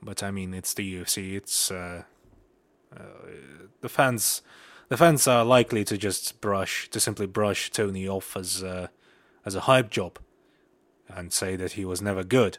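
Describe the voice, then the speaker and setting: A man's fairly low voice with a Russian accent, fairly even intonation, big swings in loudness and long, frequent pauses, in a very clean recording against a silent background. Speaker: MMA podcast host. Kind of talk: solo podcast commentary. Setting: home recording. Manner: halting.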